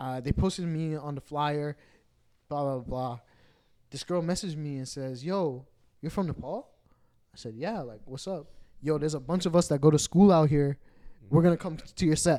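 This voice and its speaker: On a very clean recording with a silent background, a man with a Toronto accent talks at a moderate pace in a fairly high, dark, mellow tone, with big swings in loudness and long, frequent pauses. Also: ordinary pitch variation. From Toronto, Canada. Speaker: DJ. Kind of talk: casual chat. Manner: animated.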